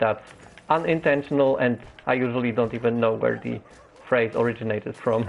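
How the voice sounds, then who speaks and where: A man talks with a Polish accent and fairly even intonation. Noticeable background noise sits behind him. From Poland. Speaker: gaming streamer. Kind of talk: live game stream commentary. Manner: halting, many fillers.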